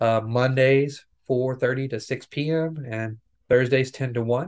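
A man talks at medium pitch in a monotone, flat intonation. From rural Tennessee. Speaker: nutrition program assistant and community volunteer. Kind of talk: interview. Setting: video call.

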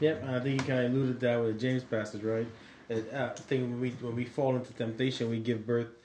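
Over noticeable background noise, someone speaks at a very fast pace with monotone, flat intonation. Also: man, medium pitch for a man. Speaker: podcast co-host. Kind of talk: casual podcast Bible discussion.

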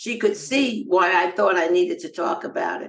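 A plain, everyday voice with an American accent carries lively intonation. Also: woman. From US, Los Angeles. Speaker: nonprofit founder and cancer survivor. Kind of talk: interview.

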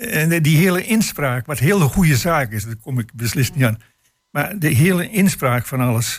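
A man speaks at a moderate pace with a fairly high pitch and a somewhat breathy sound. His pitch swings very widely. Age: 80s+. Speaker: retired local politician. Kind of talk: radio panel discussion. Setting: studio. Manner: halting.

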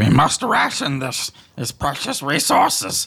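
A man's put-on character voice, raspy and fairly high-pitched, at a fairly slow pace. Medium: actual play. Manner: earnest, slightly formal.

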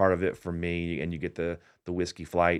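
A man with an American accent and a very deep, low pitch, on a very clean recording with a silent background. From Indiana. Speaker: bar and craft studio co-owner. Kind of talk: radio interview. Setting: radio studio.

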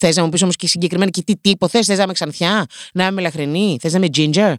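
A woman with a fairly low pitch speaks in an animated tone, the sound dry and close with no echo. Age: 20s. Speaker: podcast host. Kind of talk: comedic monologue.

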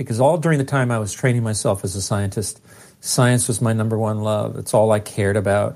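This man talks at a fairly quick pace, his medium pitch showing ordinary variation. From US West, East Los Angeles, Mexican-American. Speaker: physicist and author. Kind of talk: interview. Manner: animated.

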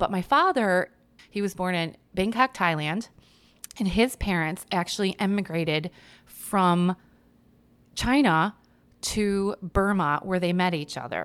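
Speaking with an American accent, a woman talks at a medium pitch with ordinary pitch variation, a fairly slow pace and long, frequent pauses. The recording is very clean, with a silent background. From US Midwest, Chicago suburbs. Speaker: poet and writer. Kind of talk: casual interview.

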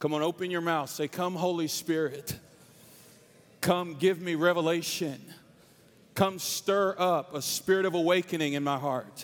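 A man speaks loudly in a high voice with an animated tone at a moderate pace. His speech is broken by long, frequent pauses. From North Carolina. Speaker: preacher. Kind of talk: sermon. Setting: stage with audience.

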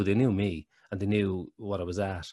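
A fairly low-pitched man with an Irish accent, dry and close with no echo, on a very clean recording with a silent background. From Ireland. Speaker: actor and lymphoma survivor. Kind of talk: casual interview chat. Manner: hesitant, repeats words.

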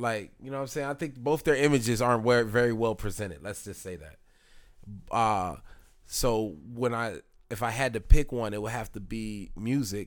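A man at medium pitch talks at a moderate pace with ordinary pitch variation and big swings in loudness. The recording is very clean with a silent background. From Lancaster, Pennsylvania (born in Philadelphia). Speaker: rapper. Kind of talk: casual chat. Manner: halting, repeats words.

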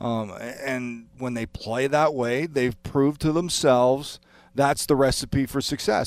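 A man's normal speaking voice at a medium pitch, with fairly even intonation and a moderate pace, on a very clean recording with a silent background. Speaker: hockey analyst, former player. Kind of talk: sports radio talk. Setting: studio.

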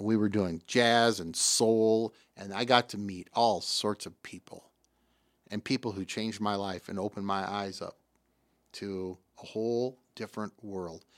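With a Midwestern US accent, a man speaks at a fairly slow pace and a fairly low pitch, his intonation fairly even and his loudness swinging widely, in a dry, close sound with no echo and a very clean recording with a silent background. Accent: US Midwest. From Davenport, Iowa. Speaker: radio host. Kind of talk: casual chat.

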